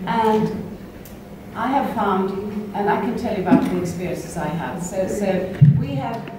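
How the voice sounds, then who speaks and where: Amid audible room echo and noticeable background noise, a woman speaks at a fairly slow pace. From Sweden. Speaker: Montessori educator, workshop co-leader. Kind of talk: workshop discussion. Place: hall.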